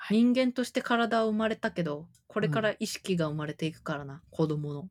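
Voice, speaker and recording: A woman with an ordinary speaking voice uses lively intonation at a moderate pace, with big swings in loudness and a dry, close sound with no echo. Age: 30s. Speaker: freelancer and podcast co-host. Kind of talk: casual chat.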